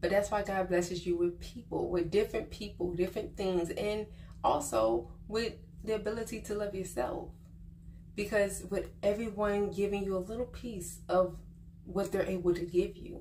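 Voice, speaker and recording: Audible room echo over a moderate pace, with ordinary pitch variation. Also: woman, medium pitch for a woman. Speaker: vlogger giving life advice. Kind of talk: casual monologue to camera. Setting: on vacation, not at home. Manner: quiet, subdued.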